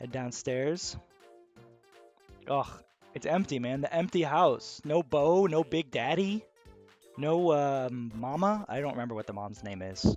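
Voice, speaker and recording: With music in the background, a fairly high-pitched man speaks fairly slowly with lively intonation, big swings in loudness, and long, frequent pauses. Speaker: gaming video host. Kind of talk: casual gameplay commentary. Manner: quiet, soft-spoken; calm, relaxed.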